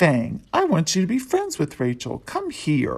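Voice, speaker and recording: Someone puts on a character voice at a middle pitch. The pace is moderate. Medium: read story. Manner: warm, gently firm.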